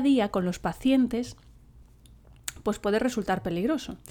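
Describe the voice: At a moderate pace, a woman speaks with a nasal, slightly mellow tone and ordinary pitch variation.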